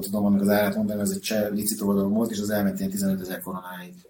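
Keeping his intonation fairly even, a man talks at a fairly low pitch in a dark, mellow tone. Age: 40s. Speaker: hockey puck collector. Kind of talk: casual interview. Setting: at his home. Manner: halting, repeats words.

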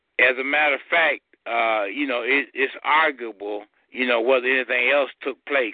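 At a medium pitch, a man speaks at a moderate pace with ordinary pitch variation. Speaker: lawyer guest. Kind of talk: call-in radio interview, fielding listener questions. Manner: formal, measured, hesitant with filler pauses.

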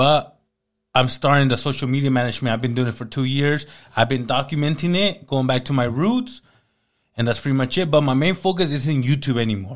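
A man with an American accent speaks at a fairly quick pace in a medium pitch, with ordinary pitch variation and a plain, everyday voice. The recording is very clean, with a silent background. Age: 30s. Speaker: entrepreneur. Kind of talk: casual chat.

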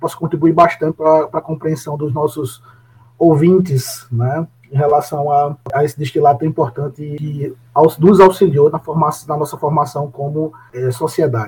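A man's fairly high voice, somewhat breathy, with fairly even intonation at a moderate pace. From Brazil, Paraíba (Areia). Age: 40s. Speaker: food science professor. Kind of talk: interview. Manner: halting, many fillers.

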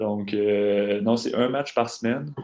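A man speaks with a Quebec accent. His pace is fairly slow and his intonation fairly even. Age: 20s. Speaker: professional basketball player. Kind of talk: interview.

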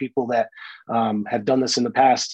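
Talking at a fairly quick pace with fairly even intonation, a man with an American accent has a dark, mellow tone in a dry, close sound with no echo. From Florida, Brooksville. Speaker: marine and real estate investor. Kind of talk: interview. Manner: hesitant, many fillers.

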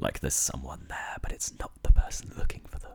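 A man talks with an English accent at a fairly quick pace. The recording is very clean, with a silent background. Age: 20s. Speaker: university student and podcast co-host. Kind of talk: casual chat.

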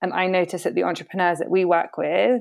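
Speaking at a very fast pace in a British accent, a woman has a fairly low pitch with vocal fry. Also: quiet background. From Britain. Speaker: impact network program manager. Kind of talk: casual interview conversation. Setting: video call.

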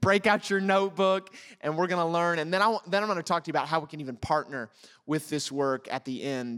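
Speaking very fast with an American accent, a man uses a high pitch and ordinary pitch variation on a very clean recording with a silent background. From United States. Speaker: pastor. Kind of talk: sermon.

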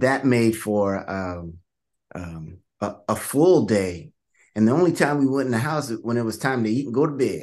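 An American man with a medium-pitched voice and lively intonation speaks at a moderate pace with long, frequent pauses against a quiet background. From Vallejo, California. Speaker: author. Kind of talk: interview.

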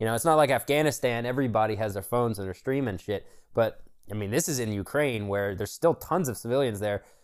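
A man with a plain, everyday voice and lively intonation, on a very clean recording with a silent background. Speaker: podcast co-host. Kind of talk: casual banter between friends. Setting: home, cold room, recording with a friend. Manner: casual, profane, joking.

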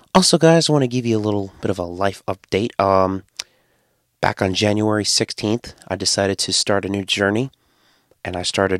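A man with a New England accent and fairly low pitch speaks at a moderate pace with ordinary pitch variation, the sound dry and close with no echo. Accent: New England American. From US Connecticut. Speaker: podcast host. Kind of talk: solo podcast monologue, casual. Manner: nervous, casual.

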